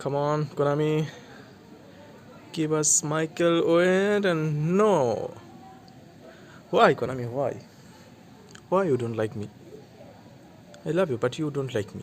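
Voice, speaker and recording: Someone speaks with a Bengali accent at a fairly slow pace, with long, frequent pauses and ordinary pitch variation. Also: man, fairly high pitch for a man. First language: Bangla. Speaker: mobile gaming YouTuber. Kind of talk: gameplay commentary. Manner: halting, with frequent restarts.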